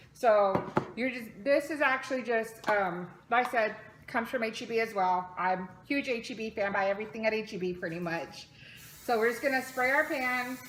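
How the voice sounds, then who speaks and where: This woman's pitch sits fairly high, with ordinary pitch variation. Noticeable background noise runs behind her. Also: moderate pace. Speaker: mother. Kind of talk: casual cooking tutorial to camera.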